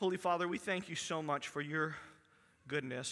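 A man speaks with a bright, sharp tone and fairly even intonation. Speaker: pastor. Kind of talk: church announcements and prayer. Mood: warm, then prayerful. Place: church.

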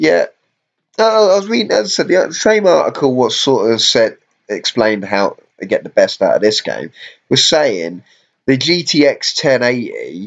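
With a British accent, the voice moves at a fairly slow pace. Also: man. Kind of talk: casual gaming stream commentary. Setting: live stream while playing on laptop. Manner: casual, hesitant with fillers.

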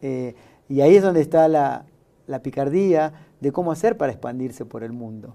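The man's voice has a dark, mellow tone and a fairly high pitch. He keeps a moderate pace, with ordinary pitch variation. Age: 50s. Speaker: podcast host. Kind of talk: interview show hosting. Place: studio. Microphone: lapel.

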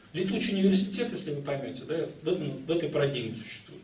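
Over light background noise and audible room echo, a man with a fairly high pitch talks at a very fast pace. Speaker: lecturer in philosophy. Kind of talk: lecture. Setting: classroom with audience. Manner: hesitant, many fillers. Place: classroom. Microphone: camera far.

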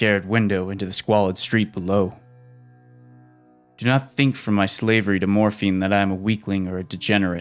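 A man's fairly low voice in a dramatic tone, fairly quick, with fairly even intonation and music in the background. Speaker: horror audiobook narrator. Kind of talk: dramatic horror audiobook narration.

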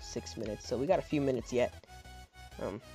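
A man's voice over background music. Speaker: gaming video creator. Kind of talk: casual gameplay commentary.

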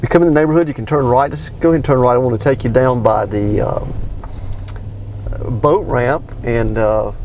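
A man speaks at a moderate pace with ordinary pitch variation, his voice dry with no echo over light background noise. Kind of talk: commentary. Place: car. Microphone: camera far.

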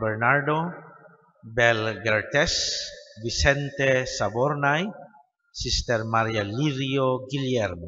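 Speaking very slowly with a Filipino accent, a man is heard over a quiet background. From Philippines. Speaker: Mass announcer reading intentions. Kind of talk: reading prayers and intentions aloud. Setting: church Mass. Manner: formal, measured. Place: church. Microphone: podium.

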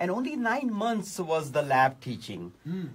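The man's voice is high and swings very widely in pitch. He talks at a fairly slow pace. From India. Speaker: political candidate; candidate. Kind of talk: radio interview. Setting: radio studio. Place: studio. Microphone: phone near.

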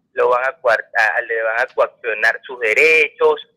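A man is speaking. The background is quiet. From Venezuela. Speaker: caller; politician hosting a Q&A show. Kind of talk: phone-in comment; reading viewer questions and answering them. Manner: halting. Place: studio. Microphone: studio mic.

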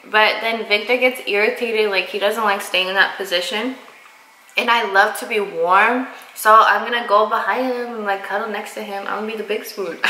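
With audible room echo, a woman speaks at a moderate pace in a fairly high pitch, her intonation monotone and flat while her loudness swings widely. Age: 20s. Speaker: girlfriend of the vlogger. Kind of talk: casual chat. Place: kitchen. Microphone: camera far.

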